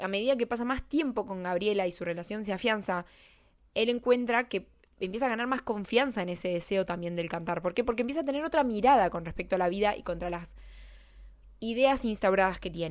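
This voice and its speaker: This woman has a Rioplatense accent and a medium pitch, speaking at a fairly quick pace with lively intonation. The recording is very clean, with a silent background. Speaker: YouTuber, film character analyst. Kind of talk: casual video essay monologue. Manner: fast; hesitant, self-correcting.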